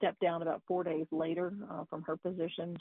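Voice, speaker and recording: A woman with a fairly low pitch talks at a moderate pace in a normal speaking voice. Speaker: news correspondent. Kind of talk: radio interview.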